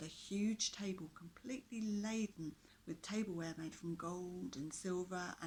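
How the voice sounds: Pitch rises and falls an ordinary amount. The reading voice sounds natural.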